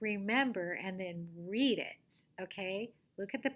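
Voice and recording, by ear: Someone reads aloud in a natural voice. The pitch rises and falls in an ordinary way.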